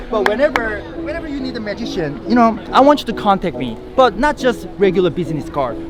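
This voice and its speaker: Over noticeable background noise, a man with a Korean accent rushes along at a very fast pace in a high voice, with very wide pitch swings, big swings in loudness and hardly any pauses. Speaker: magician. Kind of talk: magic performance patter with spectators.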